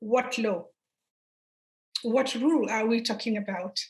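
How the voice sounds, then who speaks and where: A woman's voice comes through high in pitch with a bright, sharp tone. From northern Nigeria. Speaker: human rights lawyer. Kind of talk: lecture. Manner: halting.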